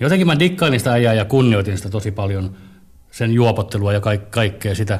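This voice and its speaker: A man's fairly low, somewhat breathy voice at a fairly quick pace. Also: ordinary pitch variation. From Helsinki, Finland. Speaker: comedian. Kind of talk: personal testimony. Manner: halting.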